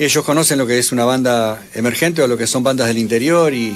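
A man speaks with a Uruguayan accent over noticeable background noise. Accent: Uruguayan Rioplatense Spanish. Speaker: rock band musician. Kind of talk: radio interview.

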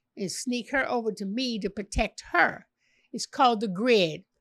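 A woman speaks at a fairly high pitch with a dry, close sound and no echo. The recording is very clean, with a silent background. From Chicago. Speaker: author and former wife of a boxing champion. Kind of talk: interview.

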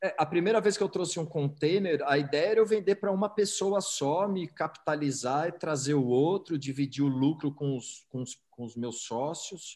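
At a moderate pace, a man talks with ordinary pitch variation in an ordinary speaking voice. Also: fairly high pitch for a man. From São Paulo, Brazil. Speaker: entrepreneur. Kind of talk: interview.

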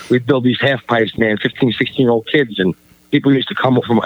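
Talking at a very fast pace, a man speaks with a New York accent. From Staten Island, New York. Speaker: graffiti artist and event organizer. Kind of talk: casual chat.

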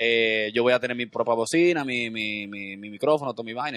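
A man's voice, with ordinary pitch variation, comes through dry and close without any echo. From Dominican Republic, Santo Domingo. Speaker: comedian and TV host. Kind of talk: casual chat. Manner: animated.

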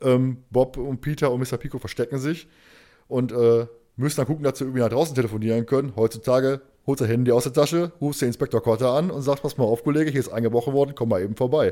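Speaking very fast at a medium pitch, a man keeps his intonation fairly even on a very clean recording with a silent background. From Ruhr area, Germany. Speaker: podcast host. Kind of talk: casual chat.

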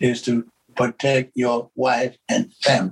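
A man with an American accent talks at a very slow pace, sounding somewhat breathy. The sound is dry and close, with no echo. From Georgia, US South. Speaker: church member, guest. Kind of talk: casual interview.

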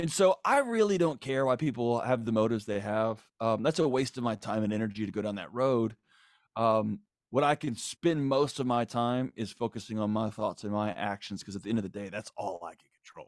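Here is a normal speaking voice: a man, medium in pitch with ordinary pitch variation, at a fairly quick pace and with big swings in loudness. The sound is dry and close, with no echo, in a very clean recording with a silent background. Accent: American. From Texas, Houston. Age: 40s. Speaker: psychologist and author. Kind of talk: casual chat.

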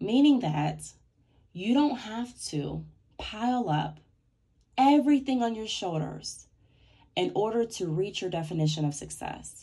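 A woman speaks at a fairly slow pace and medium pitch, somewhat breathy, with very wide pitch swings and long, frequent pauses. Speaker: podcast host. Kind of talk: motivational solo talk. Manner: less clear speech today.

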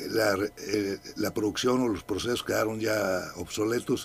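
A man talks fairly slowly. His pitch sits in the medium range. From Mexico, raised in Durango and Veracruz. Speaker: painter and author. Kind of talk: radio interview. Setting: radio studio. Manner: hesitant, repeats words.

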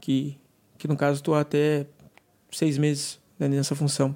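Recorded very cleanly against a silent background, a man speaks with a dark, mellow tone. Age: 20s. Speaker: sales coordinator. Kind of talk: interview testimony.

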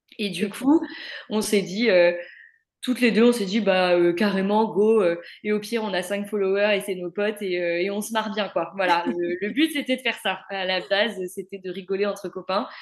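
A woman talks at a moderate pace in a medium pitch. She has an unremarkable speaking voice. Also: ordinary pitch variation. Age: 20s. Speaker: speech therapist. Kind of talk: casual chat.

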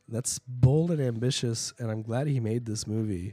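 Using a dark, mellow tone, a somewhat breathy man with an American accent speaks with ordinary pitch variation. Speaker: co-host. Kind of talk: casual chat.

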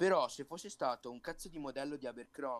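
This man has a normal speaking voice with a fairly high pitch. His pitch variation is ordinary. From Italy, Sarzana (Lunigiana, Liguria). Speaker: podcast co-host. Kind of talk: casual chat.

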